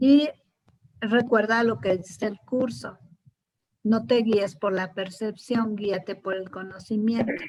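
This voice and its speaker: Very slow and marked by long, frequent pauses, a woman's somewhat breathy voice sits at a fairly high pitch. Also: ordinary pitch variation. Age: 70s. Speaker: spiritual course teacher. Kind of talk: class discussion.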